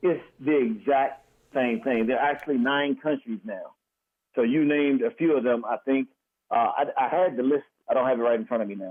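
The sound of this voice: A man at medium pitch, moderate pace and ordinary pitch variation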